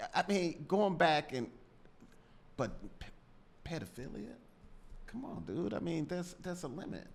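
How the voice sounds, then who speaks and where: Fairly high-pitched male voice with vocal fry and lively intonation, at a fairly slow pace broken by long, frequent pauses. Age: 60s. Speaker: trial attorney, podcast co-host. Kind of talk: casual legal discussion podcast.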